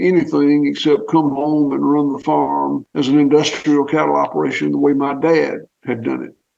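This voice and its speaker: A man with a Southern US accent at a moderate pace, with hardly any pauses. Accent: Southern US (Georgia). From US South, southwest Georgia. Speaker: farmer. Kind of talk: interview.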